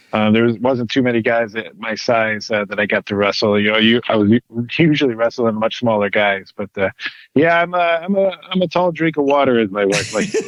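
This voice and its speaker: Here a man talks with a Michigan accent at a medium pitch. His pace is fairly quick and his intonation lively. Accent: Midwestern American (Michigan). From Michigan, Detroit area. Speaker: pro wrestler and actor. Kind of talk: interview. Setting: podcast. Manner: halting, many fillers.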